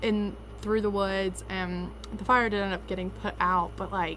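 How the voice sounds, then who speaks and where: A woman talks at a moderate pace in a Southern US accent. Room echo is audible in the recording. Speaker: vlogger. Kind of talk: casual vlog storytelling.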